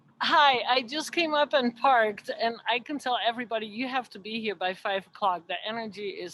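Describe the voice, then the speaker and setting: Moderate-paced speech from a woman with a non-native accent. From Europe. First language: not English. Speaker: audience member asking a question. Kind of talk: casual question.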